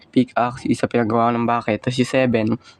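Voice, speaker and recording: A man at medium pitch and a very fast pace, with monotone, flat intonation and noticeable background noise. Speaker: gaming YouTuber. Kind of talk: gameplay commentary. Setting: recording at home.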